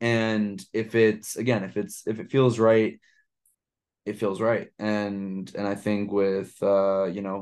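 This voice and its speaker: In a New York accent, the speaker talks with fairly even intonation against a quiet background. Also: man. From Brooklyn, New York. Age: 20s. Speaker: podcast host. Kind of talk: interview.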